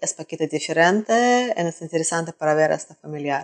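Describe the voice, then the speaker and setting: A woman with a Russian accent speaks at a fairly low pitch. The sound is dry and close with no echo, against a quiet background. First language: Russian (speaking Spanish). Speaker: traveler. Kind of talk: interview. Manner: halting.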